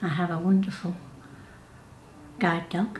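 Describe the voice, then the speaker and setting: A woman with a Yorkshire accent speaks at a fairly slow pace, her pitch fairly low and her intonation fairly even. Noticeable background noise and audible room echo fill the recording. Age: 70s. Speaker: workshop participant. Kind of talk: interview. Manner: halting.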